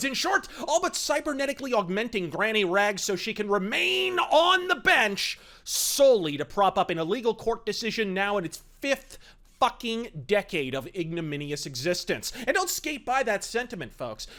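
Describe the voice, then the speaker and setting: A high-pitched man speaks in a raised, projected voice. His pitch swings very widely. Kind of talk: political rant to camera. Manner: fast, aggressive, profane.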